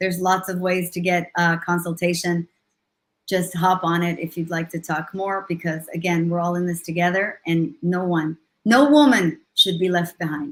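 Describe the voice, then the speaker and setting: A woman speaks with an Israeli accent at a fairly low pitch. Her pitch variation is ordinary. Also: moderate pace. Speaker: leadership coach and motivational speaker. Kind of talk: interview on a live stream. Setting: live video stream.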